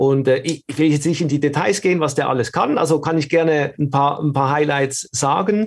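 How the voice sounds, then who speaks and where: A man with a slight Swiss German accent speaks at a fairly high pitch with ordinary pitch variation and a somewhat breathy quality. He talks with hardly any pauses. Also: moderate pace, very even loudness. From Switzerland. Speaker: video studio consultant and filmmaker. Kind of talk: casual interview. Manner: halting, repeats words.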